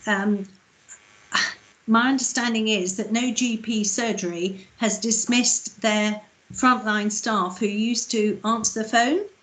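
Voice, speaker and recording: Using a plain, everyday voice, a woman talks at a fairly high pitch and a fairly slow pace with fairly even intonation. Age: 60s. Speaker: councillor. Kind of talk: committee meeting. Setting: video call.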